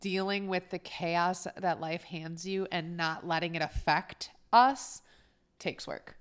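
In an ordinary speaking voice, a woman talks fairly slowly at a fairly low pitch with fairly even intonation, on a very clean recording with a silent background. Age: 30s. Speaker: podcast co-host, mother. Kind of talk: casual chat.

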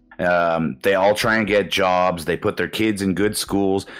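Music in the background behind a man with a Canadian accent, fairly low in pitch, at a moderate pace with fairly even intonation. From Canada. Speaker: podcast guest, former heavy drinker living abroad. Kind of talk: casual chat.

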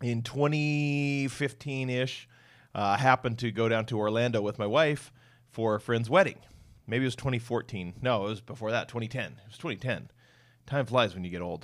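With an American accent and a plain, everyday voice, a man talks at a medium pitch and moderate pace in a very clean recording with a silent background. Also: ordinary pitch variation. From US Pacific Northwest (Western Washington). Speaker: podcast host. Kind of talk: casual chat.

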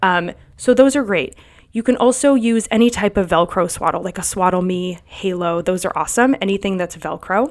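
In a very clean recording with a silent background, a woman talks at a fairly quick pace in a medium pitch with ordinary pitch variation. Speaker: sleep consultant and podcast host. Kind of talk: casual solo podcast talk. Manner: fast.

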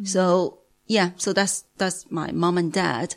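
A woman speaks with a Chinese accent at a fairly slow pace. The recording is very clean, with a silent background. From Beijing, China. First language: Mandarin Chinese. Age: 40s. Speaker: language teacher. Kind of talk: testimony. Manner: halting.

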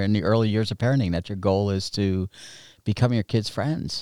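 A man speaks at a medium pitch with ordinary pitch variation, his voice dry and close with no echo in a very clean recording against a silent background. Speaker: pastor and network marketer. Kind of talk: casual interview. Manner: quiet.

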